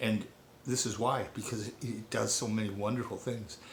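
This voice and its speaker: Audible room echo colors a man's medium-pitched voice, which keeps a fairly even intonation. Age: 60s. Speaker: nurse and network marketer. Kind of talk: testimony / sales pitch. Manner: casual, conversational.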